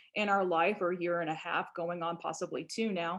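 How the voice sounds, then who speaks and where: Here a woman speaks with a Southern US accent. Her pace is moderate. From Louisiana, US Deep South. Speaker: biology professor and birder. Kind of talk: online presentation.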